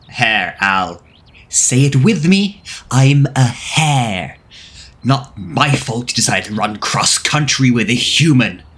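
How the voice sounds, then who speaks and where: A put-on character voice from a man, medium in pitch, at a fairly slow pace. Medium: audio drama.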